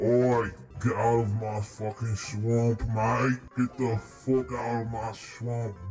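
A man's cartoonish character voice at medium pitch, very slow in pace, over clear background noise. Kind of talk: crude, cartoonish. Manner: aggressive, shouting.

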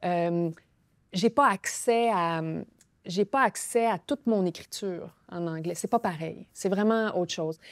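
A woman speaks very slowly, with lively intonation. The sound is dry with no echo, and the background is quiet. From Quebec. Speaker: novelist and playwright; guest. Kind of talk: interview. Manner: halting. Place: studio. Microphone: lapel.

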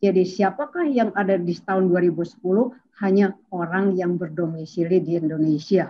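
A woman speaks at a moderate pace in a medium pitch with ordinary pitch variation. Her loudness stays very even over light background noise. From West Java (Sundanese). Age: 50s. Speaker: demographer; guest. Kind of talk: online academic presentation. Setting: video call. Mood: cheerful, smiling. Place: home room. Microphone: video call.

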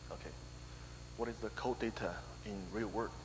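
Music plays in the background as a man speaks in a very deep, low pitch. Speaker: conference presenter. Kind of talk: technical conference talk. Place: hall.

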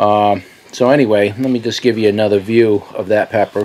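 The intonation remains fairly even. It belongs to a man's voice. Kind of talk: casual vlog chat. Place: garden. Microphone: phone near.

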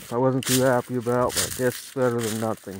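The recording has light background noise. Its sound is dry, with no echo. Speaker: vlogger. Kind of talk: casual vlog chat. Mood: resigned, a bit disappointed. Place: forest. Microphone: phone near.

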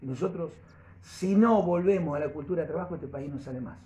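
Over light background noise, a man speaks at a fairly quick pace in a Rioplatense accent. His intonation is lively. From Argentina. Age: 60s. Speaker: political candidate; candidate. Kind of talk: press conference. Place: meeting room. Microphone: camera far.

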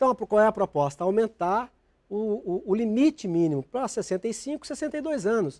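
Speaking at a fairly slow pace, the man uses a high voice with lively intonation. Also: quiet background. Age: 50s. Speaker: politician. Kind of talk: TV interview. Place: studio. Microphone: lapel.

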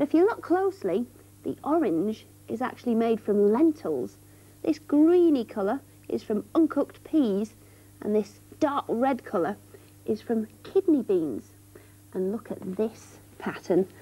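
Speaking at a fairly slow pace, a woman sounds somewhat breathy, her pitch swinging very widely. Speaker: TV presenter. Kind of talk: tutorial. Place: studio. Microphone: lapel.

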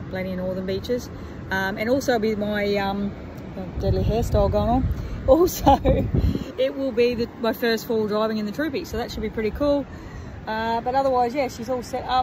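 A woman at a fairly quick pace, with ordinary pitch variation, a dry sound with no echo and noticeable background noise. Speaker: travel vlogger. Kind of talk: casual vlog chat. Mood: cheerful, relaxed. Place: beach. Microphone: phone near.

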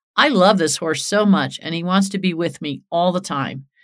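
In an ordinary speaking voice, a woman talks at a moderate pace and fairly low pitch with ordinary pitch variation, on a very clean recording with a silent background. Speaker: horse trainer and podcast host. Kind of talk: podcast monologue with listener Q&A. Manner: conversational, uses fillers.

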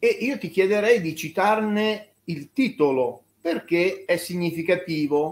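Here a man speaks at a very slow pace. His pitch is high, with ordinary pitch variation. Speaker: journalist. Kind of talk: interview. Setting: video call. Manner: halting.

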